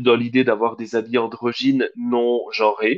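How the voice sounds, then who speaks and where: Here a man speaks at a fairly slow pace. He has a plain, everyday voice. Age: 30s. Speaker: drag queen podcast co-host. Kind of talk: casual chat.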